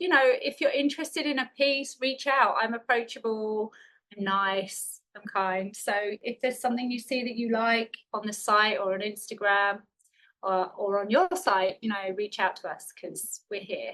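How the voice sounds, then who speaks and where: A woman's voice sounds bright and sharp at a fairly high pitch. Her intonation is lively. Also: moderate pace. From England, London. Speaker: painter. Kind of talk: interview. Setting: podcast.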